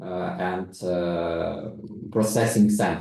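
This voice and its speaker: With a non-native accent, a man speaks with ordinary pitch variation over audible room echo. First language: non-native English speaker. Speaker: investment consultant. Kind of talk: webinar panel discussion. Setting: online video call.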